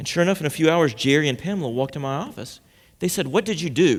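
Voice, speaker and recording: Talking at a very fast pace, a man with a fairly high pitch uses lively intonation and vocal fry on a very clean recording with a silent background. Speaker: pastor giving a sermon. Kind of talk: sermon to a congregation. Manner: conversational, storytelling, humorous.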